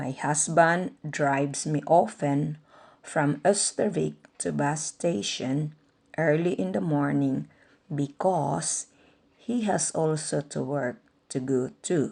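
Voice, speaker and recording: In a Visayan accent, a woman speaks very slowly with a very deep, low pitch and vocal fry. Her intonation is lively, and the background is quiet. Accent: Filipino (Visayan). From Philippines, Agusan (Mindanao). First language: Bisaya (Cebuano). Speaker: vlogger. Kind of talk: personal narration.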